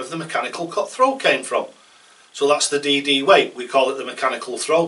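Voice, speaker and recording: A man with a British accent talks at a fairly quick pace over noticeable background noise. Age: 60s. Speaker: darts coach. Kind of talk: casual tutorial talk. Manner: conversational, rambling with hesitations.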